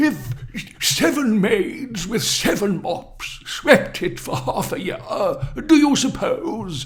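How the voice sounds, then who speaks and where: A man puts on a character voice, pitched high and delivered at a very slow pace. Light background noise sits behind him. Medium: read story. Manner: genial, coaxing.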